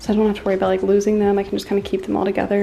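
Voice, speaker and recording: Through noticeable background noise, a woman with an American accent speaks in a fairly high voice. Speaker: personal trainer. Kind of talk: casual vlog. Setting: at home.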